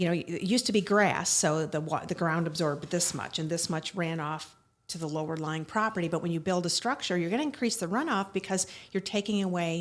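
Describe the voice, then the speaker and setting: A plain, everyday voice from a woman, fairly low in pitch with ordinary pitch variation, at a fairly quick pace, in a very clean recording with a silent background. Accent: American. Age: 60s. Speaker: attorney. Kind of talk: interview conversation.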